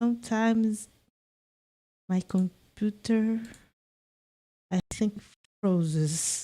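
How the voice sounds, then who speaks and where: A woman with a non-native accent speaks at a very slow pace with long, frequent pauses, her fairly high voice dark and mellow in tone. Her intonation is fairly even, and the sound is dry and close with no echo. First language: not English. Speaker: vtuber gaming streamer. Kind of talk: casual gameplay stream; reading aloud.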